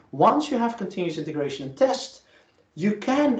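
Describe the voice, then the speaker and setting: A man is speaking with music in the background. Room echo is audible. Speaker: professor. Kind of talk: lecture. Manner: fast.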